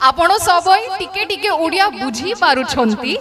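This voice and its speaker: A woman with a Bengali accent uses a raised, projected voice and lively intonation over crowd noise in the background. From Maharashtra, Pune. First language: Bengali (speaking Hindi). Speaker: English professor. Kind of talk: stage speech. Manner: formal.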